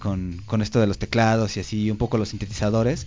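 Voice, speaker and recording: The speaker is a man with a medium-pitched voice. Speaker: radio host. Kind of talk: casual chat. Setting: studio. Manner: fast.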